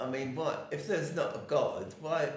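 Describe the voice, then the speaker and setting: The man here has a fairly high pitch and a moderate pace. Audible room echo and noticeable background noise surround his voice. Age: 80s+. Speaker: podcast co-host, retired worker. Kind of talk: casual chat.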